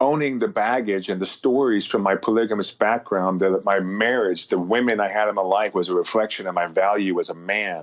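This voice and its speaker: Against a quiet background, a man with a normal speaking voice and an American accent talks at a fairly quick pace and fairly low pitch, with hardly any pauses, very even loudness and ordinary pitch variation. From US West (rural Montana). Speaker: motivational speaker, former basketball player. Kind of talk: podcast interview.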